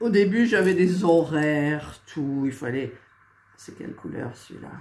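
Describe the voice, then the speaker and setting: A woman speaks very slowly in a very deep, low pitch, her intonation lively. Audible room echo surrounds her voice. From eastern France. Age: 60s. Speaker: crafts YouTuber. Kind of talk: casual chat. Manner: hesitant, many fillers.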